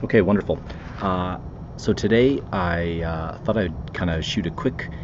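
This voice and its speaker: Soft-spoken, a man talks at a fairly slow pace with a very deep, low pitch and ordinary pitch variation. Noticeable background noise is present. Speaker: commercial real estate investor. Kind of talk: casual podcast monologue. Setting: outdoors by the water. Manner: hesitant, many fillers.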